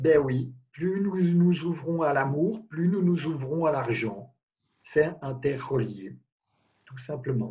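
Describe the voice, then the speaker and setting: There is a quiet background as a man speaks at a very slow pace with long, frequent pauses. His voice is fairly high and somewhat breathy. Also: ordinary pitch variation. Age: 50s. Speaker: life coach guest. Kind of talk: interview. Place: home room. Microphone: video call.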